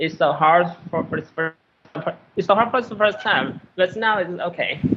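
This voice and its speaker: High-pitched male speech with a Vietnamese accent, ordinary pitch variation, and a moderate pace. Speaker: Buddhist monk, caller. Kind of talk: casual chat. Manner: halting.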